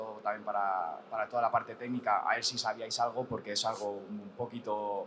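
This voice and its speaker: Monotone, flat intonation runs through speech taken at a fairly quick pace. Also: man. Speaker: audience member asking question. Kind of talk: panel Q&A question.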